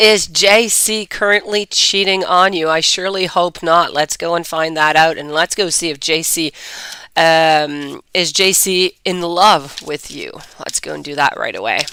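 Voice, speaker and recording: A husky, fairly low-pitched woman's voice with a bright, sharp tone, fairly even intonation and a fairly slow pace. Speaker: tarot reader. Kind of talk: live-stream tarot reading. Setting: live stream.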